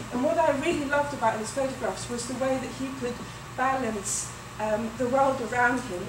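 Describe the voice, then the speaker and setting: With audible room echo and noticeable background noise, a woman speaks at a moderate pace with fairly even intonation. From Greece, Athens. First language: Greek. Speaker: weaver and textile artist. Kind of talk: artist talk with slides.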